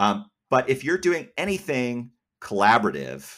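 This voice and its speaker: Speaking at a moderate pace with an American accent, a man uses lively intonation and a bright, sharp tone, recorded very cleanly against a silent background. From US Northeast, Massachusetts. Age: young. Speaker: editor and company founder. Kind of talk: interview.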